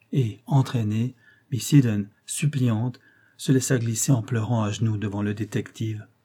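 A passage in plain reading aloud

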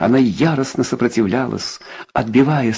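A voice does plain reading aloud, its pitch shifting by ordinary amounts.

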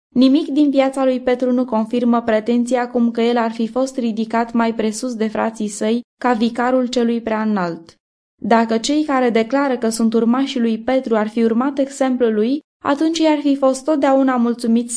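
A woman speaks in a dark, mellow tone. Her intonation stays fairly even. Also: fairly high pitch for a woman.

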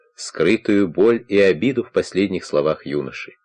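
This is plain reading aloud. Nothing else stands out.

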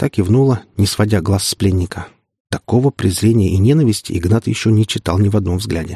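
A quiet background, reading aloud in a natural voice, pitch moving in an ordinary way.

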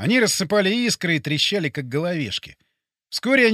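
Someone reads aloud plainly, the intonation lively. Things stay quiet in the background.

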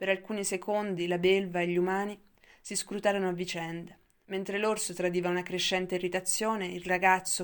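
An unforced reading voice throughout

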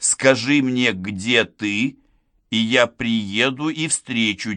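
Someone reads in an unforced voice, and the background stays quiet.

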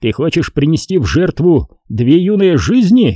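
A man growls in a put-on character voice, fairly high in pitch with very wide pitch swings and a dark, mellow tone carrying a slightly husky edge. He speaks at a fairly slow pace in a dry, close sound with no echo.

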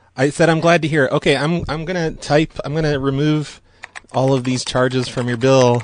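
Here is a man with a normal speaking voice and a fairly high pitch. He talks at a fairly quick pace with fairly even intonation. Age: 40s. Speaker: prank call radio host. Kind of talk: prank phone call show. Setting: phone call.

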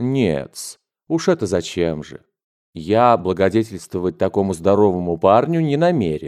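The text is read aloud in a natural voice. The background is quiet.

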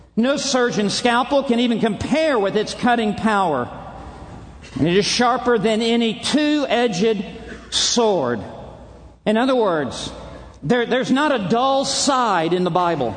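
A man speaks at an extremely high pitch with ordinary pitch variation and very even loudness, at a fairly slow pace with long, frequent pauses. Noticeable background noise and audible room echo fill the recording. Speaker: preacher. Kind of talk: sermon. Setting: stage with audience. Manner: formal.

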